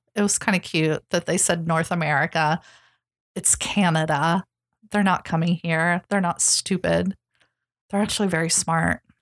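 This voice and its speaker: With a fairly low pitch, a woman speaks at a moderate pace with fairly even intonation, very even loudness and long, frequent pauses, in a dry, close sound with no echo. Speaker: podcast co-host. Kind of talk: casual chat.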